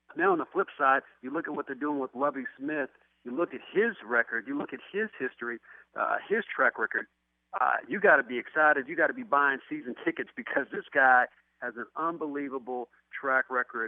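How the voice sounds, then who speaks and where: A man with a fairly high pitch talks at a fairly quick pace in an ordinary speaking voice, with ordinary pitch variation. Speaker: former linebacker and football analyst. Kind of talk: radio sports interview answer.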